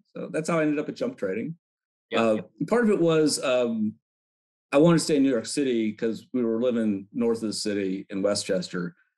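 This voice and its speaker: A man with lively intonation at a fairly quick pace, against a quiet background. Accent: American. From Chicago. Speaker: retired quant and systems architect; guest. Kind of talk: casual interview. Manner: hesitant, many fillers. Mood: relaxed, reflective. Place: home room. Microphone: video call.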